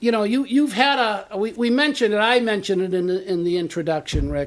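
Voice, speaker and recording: A man with a Boston accent speaks at a high pitch, his voice swinging very widely up and down. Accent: Boston-area. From Medford, Massachusetts. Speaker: local show host. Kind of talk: interview.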